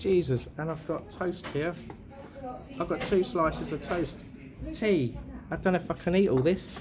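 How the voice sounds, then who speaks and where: A man speaks over noticeable background noise. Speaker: food vlogger. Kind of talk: casual food review commentary. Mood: jovial, impressed. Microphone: phone near.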